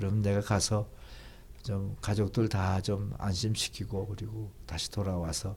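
At a very slow pace, a man with vocal fry speaks at a fairly low pitch with ordinary pitch variation, on a very clean recording with a silent background. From North Korea (Gangwon, Tongcheon). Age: 80s+. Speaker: pastor and theologian. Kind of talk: interview, life story.

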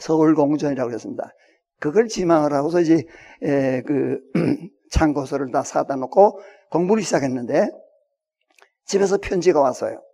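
A man's dark, mellow tone at a fairly high pitch, with lively intonation, a moderate pace and long, frequent pauses. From Hwanghae Province, North Korea. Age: 80s+. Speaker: retired pastor and Bible scholar. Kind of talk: public talk to an audience. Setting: auditorium with audience. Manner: halting, with many fillers.

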